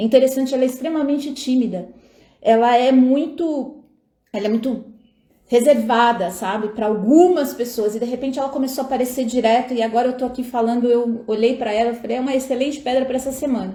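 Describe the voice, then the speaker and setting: Audible room echo surrounds a woman's high voice. She speaks at a fairly quick pace with fairly even intonation. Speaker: tarot reader and astrologer. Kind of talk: live stream talk with viewers. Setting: live stream at home. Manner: casual, chatty.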